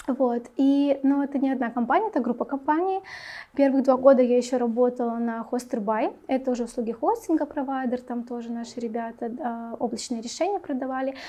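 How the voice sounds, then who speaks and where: Her voice is high with a dark, mellow tone, and the woman talks at a fairly quick pace with ordinary pitch variation. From Belarus. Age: 20s. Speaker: HR specialist. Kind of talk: casual interview.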